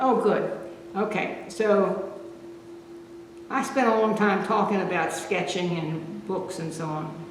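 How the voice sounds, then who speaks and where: Over noticeable background noise, the speech moves at a very slow pace with long, frequent pauses. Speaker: painting instructor. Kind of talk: tutorial.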